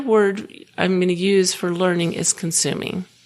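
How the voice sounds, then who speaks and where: A woman with a medium-pitched voice talks amid audible room echo. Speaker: podcast host. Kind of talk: podcast monologue. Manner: some filler words and repetitions.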